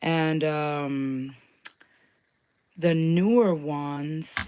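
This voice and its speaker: A woman speaks at a very deep, low pitch. Her intonation stays fairly even. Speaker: crafter and craft shop host. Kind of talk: live craft tutorial. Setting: YouTube livestream. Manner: casual, hesitant with fillers.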